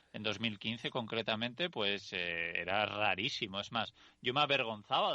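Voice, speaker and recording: Over a quiet background, a man with a fairly low pitch speaks in a bright, sharp tone. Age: 30s. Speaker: podcast host and vanlife author. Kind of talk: casual interview chat.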